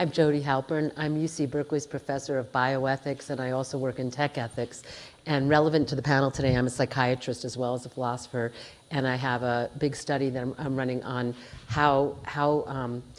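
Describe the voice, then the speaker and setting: Over noticeable background noise, a woman speaks fairly quickly in a very deep, low voice with monotone, flat intonation. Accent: American. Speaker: bioethics professor and psychiatrist. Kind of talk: panel discussion.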